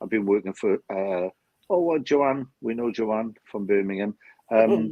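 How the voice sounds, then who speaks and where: A speaker with a Welsh accent talks at a fairly slow pace with ordinary pitch variation. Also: man, medium pitch for a man. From South Wales. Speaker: spiritualist medium. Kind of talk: live-stream chat. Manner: halting, repeats words.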